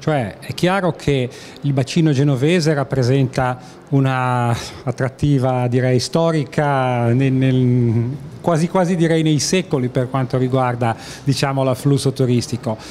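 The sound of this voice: The speech moves at a fairly slow pace with few pauses. Intonation is fairly even, and the tone is slightly mellow. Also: man, medium pitch for a man.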